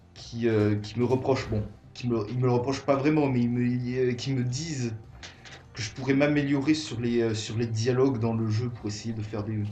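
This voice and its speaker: Music plays in the background and the room has an audible echo. A man speaks at a moderate pace and medium pitch with fairly even intonation. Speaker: gaming youtuber. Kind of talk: let's play commentary. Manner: halting, many fillers.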